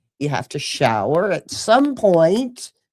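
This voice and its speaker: In a very clean recording with a silent background, a woman speaks at a fairly slow pace with very wide pitch swings. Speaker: podcast co-host. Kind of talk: casual chat. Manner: halting.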